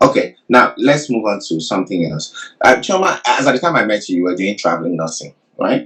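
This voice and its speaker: Very wide pitch swings and vocal fry in a man's speech. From Nigeria. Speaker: career coach. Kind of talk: interview. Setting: livestream.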